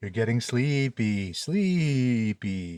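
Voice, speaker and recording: A man does a put-on character voice. His pitch is medium. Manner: slow, hypnotic, cliched.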